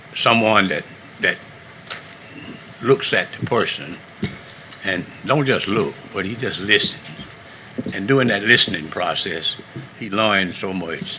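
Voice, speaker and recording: A man with a Southern US accent speaks in a fairly low voice, pausing long and often, with audible room echo and noticeable background noise. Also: ordinary pitch variation, fairly slow pace. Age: 70s. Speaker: navy veteran, public commenter. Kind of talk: public comment at council meeting. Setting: county council meeting.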